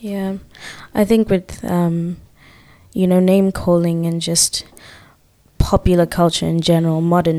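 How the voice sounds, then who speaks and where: Speaking fairly slowly with long, frequent pauses, a woman uses a fairly low pitch, a dark, mellow tone and fairly even intonation. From Zimbabwe. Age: 20s. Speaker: occupational therapy student. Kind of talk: casual chat.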